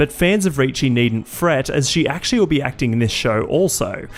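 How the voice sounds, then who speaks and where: There is music in the background as a man talks at a fairly quick pace. His pitch is medium, with ordinary variation. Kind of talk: entertainment news video narration.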